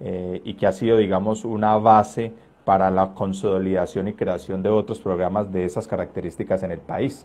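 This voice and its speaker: Over a quiet background, a man with a dark, mellow tone and fairly low pitch speaks at a moderate pace with fairly even intonation. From Colombia, Caldas. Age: 30s. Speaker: trombonist. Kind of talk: interview. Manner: hesitant, many fillers.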